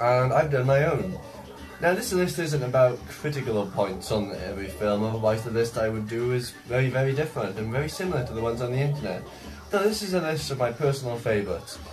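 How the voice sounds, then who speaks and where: A man of medium pitch speaks at a very fast pace with lively intonation, against noticeable background noise and audible room echo. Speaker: film vlogger. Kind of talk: casual monologue vlog.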